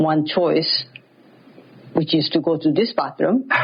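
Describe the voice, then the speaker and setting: A woman at a fairly low pitch, with noticeable background noise. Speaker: interviewee sharing story. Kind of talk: personal story.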